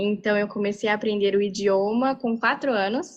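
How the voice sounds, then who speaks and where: A woman with a plain, everyday voice speaks at a moderate pace and medium pitch, with ordinary pitch variation. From Japan. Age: 20s. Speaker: university student. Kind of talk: panel talk.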